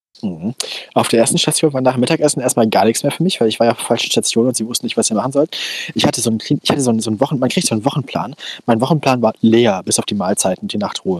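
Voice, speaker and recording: A man talks at a very fast pace with ordinary pitch variation, in a dry, close sound with no echo and noticeable background noise. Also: medium pitch for a man. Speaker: podcast co-host. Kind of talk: casual chat. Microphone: old headphones with a cheap headset mic.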